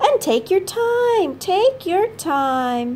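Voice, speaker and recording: Light background noise sits under a squeaky, put-on character voice that jumps through very wide pitch swings. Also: woman, extremely high pitch for a woman. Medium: read story. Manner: slow, calm.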